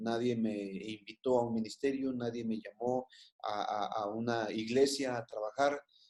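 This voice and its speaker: Medium in pitch with a dark, mellow tone, a man speaks with fairly even intonation. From Mexico, Guadalajara. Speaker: pastor. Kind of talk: interview. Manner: halting.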